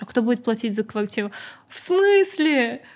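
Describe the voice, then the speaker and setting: A somewhat breathy woman at a fairly slow pace. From Azerbaijan. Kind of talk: casual podcast interview.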